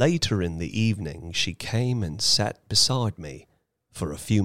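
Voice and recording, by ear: Someone reading aloud in a natural voice over a quiet background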